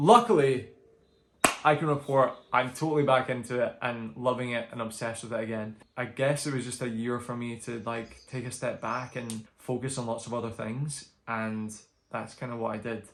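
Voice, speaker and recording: Speaking with a Scottish accent, a man holds a medium pitch, a moderate pace and fairly even intonation. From Scotland. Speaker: book vlogger. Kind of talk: casual vlog update. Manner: chatty, filler-heavy.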